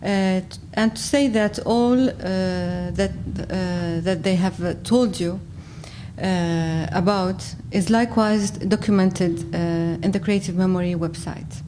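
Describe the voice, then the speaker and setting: A woman's medium-pitched voice with an Arabic accent, at a fairly slow pace with ordinary pitch variation, audible room echo, and noticeable background noise. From Syria. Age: 40s. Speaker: graphic designer and cultural archivist. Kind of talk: conference talk read from notes. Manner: halting, many hesitations.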